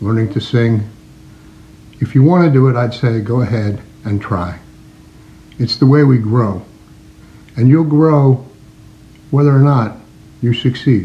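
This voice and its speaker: A man with a medium pitch speaks at a fairly slow pace, his somewhat breathy voice carrying a dark, mellow tone, ordinary pitch variation and long, frequent pauses. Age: 70s. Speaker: congregation elder. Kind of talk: recorded words of advice.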